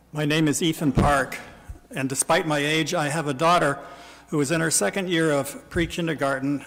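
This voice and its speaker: An ordinary speaking voice, fairly even in intonation and moderate in pace. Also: man. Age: 60s. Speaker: citizen testifying at a legislative hearing. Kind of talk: public testimony. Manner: formal.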